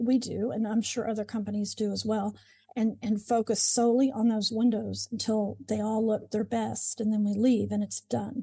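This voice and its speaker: A woman with a fairly high pitch speaks at a moderate pace, somewhat breathy. Her tone is dark and mellow, her intonation monotone and flat. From Oklahoma (Moore). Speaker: window cleaning business owner. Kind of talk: interview.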